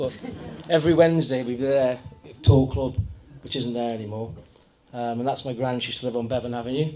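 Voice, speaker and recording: With a North Staffordshire accent, a man talks at a fairly quick pace and a medium pitch, his intonation fairly even. Noticeable background noise runs underneath. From Kidsgrove area, Staffordshire, England. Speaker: local resident sharing memories. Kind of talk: casual talk to audience.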